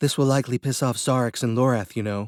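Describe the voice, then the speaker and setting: A man rattles off lines at a very fast pace in a put-on character voice of medium pitch with fairly even intonation, the sound dry and close with no echo in a very clean recording with a silent background. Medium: read story. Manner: blunt, practical.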